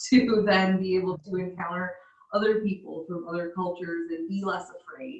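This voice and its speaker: Speaking at a fairly slow pace with ordinary pitch variation, a woman with an American accent has an unremarkable speaking voice. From US Midwest. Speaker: missionary. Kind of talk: casual chat.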